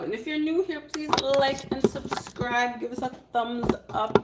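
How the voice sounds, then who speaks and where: Against noticeable background noise, a woman speaks in an animated tone at a fairly slow pace. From Canada. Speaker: cooking livestreamer. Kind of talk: live cooking stream with chat replies. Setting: live stream.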